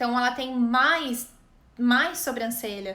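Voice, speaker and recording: A woman's raised, projected voice, high in pitch, bright and sharp in tone, with ordinary pitch variation and audible room echo. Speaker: image consultant. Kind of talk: live online class. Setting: live stream.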